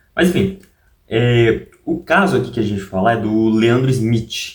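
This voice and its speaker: Here a man talks at a moderate pace and a medium pitch. His intonation is lively. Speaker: YouTuber. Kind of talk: casual vlog talk. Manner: soft-spoken; halting.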